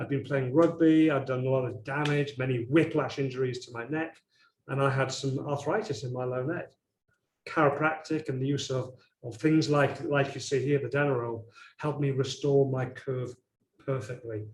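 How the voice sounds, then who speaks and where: Somewhat breathy and fairly high in pitch, a man talks at a moderate pace with fairly even intonation. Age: 60s. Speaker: chiropractor. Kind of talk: webinar presentation. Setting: online webinar.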